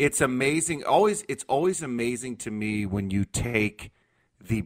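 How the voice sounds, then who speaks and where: An unremarkable speaking voice from a man at medium pitch, with a dry, close sound and no echo. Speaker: sports journalist. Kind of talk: casual chat.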